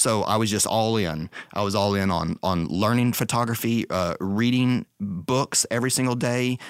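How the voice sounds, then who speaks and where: A plain, everyday voice with an American accent talks at a moderate pace with hardly any pauses, ordinary pitch variation and very even loudness, in a dry, close sound with no echo. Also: man, medium pitch for a man. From Texas. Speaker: architectural photographer. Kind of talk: casual interview.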